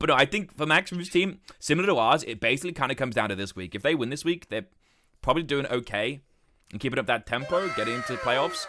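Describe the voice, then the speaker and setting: A man talks at a very fast pace with a British accent. His tone is bright, sharp and animated. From Britain. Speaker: streamer. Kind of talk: casual chat.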